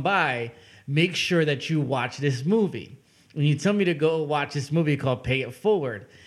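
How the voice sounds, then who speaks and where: In a very clean recording with a silent background, a man with an unremarkable speaking voice and a fairly high pitch talks at a moderate pace. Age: 20s. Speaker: podcast host. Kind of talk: casual interview chat.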